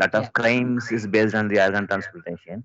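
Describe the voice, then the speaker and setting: Fairly quick and fairly low-pitched, a man speaks with fairly even intonation. The background is quiet, and the sound is dry with no echo. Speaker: class moderator. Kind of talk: Q&A; interview questions in webinar Q&A. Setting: video call. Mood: polite, respectful. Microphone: echo on line; video call.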